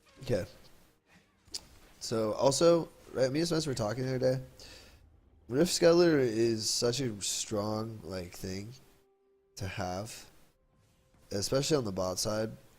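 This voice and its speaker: A man speaks with lively intonation and long, frequent pauses. Audible echo fills the room. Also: medium pitch for a man. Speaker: gaming video commentator. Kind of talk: casual gameplay commentary. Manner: casual, hesitant.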